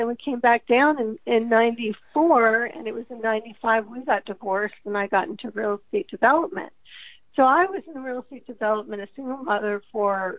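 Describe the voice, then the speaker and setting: A woman with an unremarkable speaking voice, pitched fairly high. Her intonation is lively and her pace moderate. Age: 40s. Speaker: author. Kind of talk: interview.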